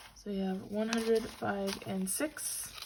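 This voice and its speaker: Against noticeable background noise, a woman speaks very slowly. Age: 20s. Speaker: college student. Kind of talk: casual budgeting talk to camera. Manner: upbeat.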